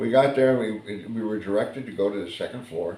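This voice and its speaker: A fairly low-pitched man with an American accent, in audible room echo with noticeable background noise. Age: 70s. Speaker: vlogger. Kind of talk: casual monologue. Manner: halting, many fillers and repeats.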